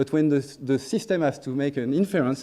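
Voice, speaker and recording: A man talks at a fairly quick pace with lively intonation and a dark, mellow tone. He has a strong French accent. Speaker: neuroscience researcher. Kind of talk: conference talk. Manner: hesitant with fillers and restarts.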